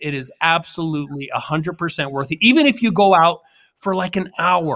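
A man with a bright, sharp tone and lively intonation is heard on a very clean recording with a silent background. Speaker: podcast co-host. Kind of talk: casual chat.

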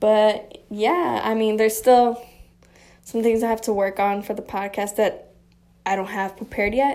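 A woman's fairly high voice with a dark, mellow tone, fairly even intonation, and a moderate pace. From Chicago. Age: 20s. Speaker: podcast host. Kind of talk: casual monologue. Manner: rambling, sidetracking.

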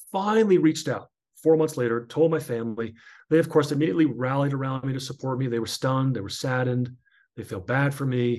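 A man's medium-pitched voice with an American accent, ordinary pitch variation and a very fast pace. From US, northern New Jersey. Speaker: author and former sports broadcaster. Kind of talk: interview testimony.

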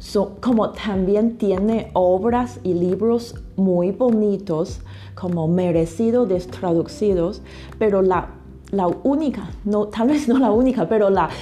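With a Chinese accent, a woman speaks at a very slow pace and medium pitch, her pitch varying in an ordinary way over noticeable background noise. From China. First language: Chinese (speaking Spanish). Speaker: literary translator. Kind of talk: interview. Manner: halting, with fillers and repetitions.

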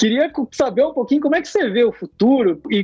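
A man's lively intonation rises above noticeable background noise. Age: 30s. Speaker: podcast host. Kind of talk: interview.

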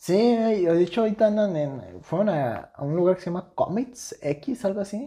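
The speaker talks with a Mexican accent. The pace is moderate. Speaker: podcast co-host. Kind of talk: casual chat.

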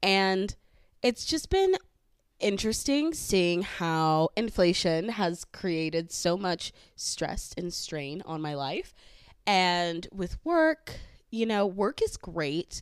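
In a Southern Californian accent, a woman speaks very slowly at a medium pitch, on a very clean recording with a silent background. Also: lively intonation. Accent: Valley accent, California. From San Fernando Valley, California. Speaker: podcast host. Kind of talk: solo casual podcast monologue. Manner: casual, chatty, with fillers.

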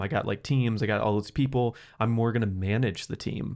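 A man's fairly low voice in an enthusiastic tone, with ordinary pitch variation, against a quiet background. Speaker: podcast host. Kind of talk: casual interview. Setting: studio.

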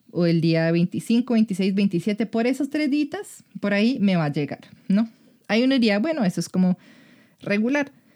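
In a dry, close recording with no echo, a woman with an unremarkable speaking voice speaks at a medium pitch and a fairly slow pace, her intonation lively and her loudness very even. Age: 20s. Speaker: sex educator. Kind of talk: casual chat.

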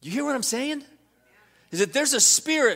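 A man speaks at an extremely high pitch in a raised, projected voice. His tone is bright and sharp. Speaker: pastor. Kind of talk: sermon. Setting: church. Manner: fervent, rousing, preacherly call-and-response; earnest, emphatic, repeating lines.

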